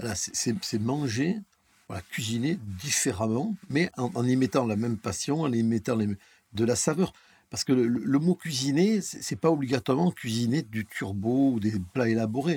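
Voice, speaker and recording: Fairly slow and lively, a man of medium pitch speaks with a dark, mellow tone in a dry, close sound with no echo. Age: 50s. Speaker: chef. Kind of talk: casual interview. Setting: near restaurant kitchens.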